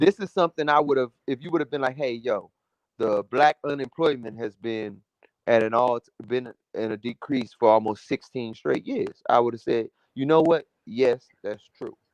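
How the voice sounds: The sound is dry and close with no echo as a man talks with ordinary pitch variation. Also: medium pitch for a man, moderate pace.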